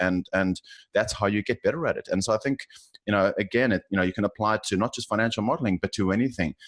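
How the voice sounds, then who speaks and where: A man talks at a very fast pace with lively intonation and a fairly low pitch. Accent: South African. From South Africa. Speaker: finance professional. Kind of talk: interview. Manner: halting, many fillers and repeats.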